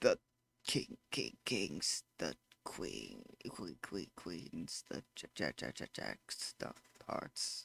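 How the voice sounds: In a put-on, robotic character voice, a man speaks at a very slow pace with a very deep, low pitch.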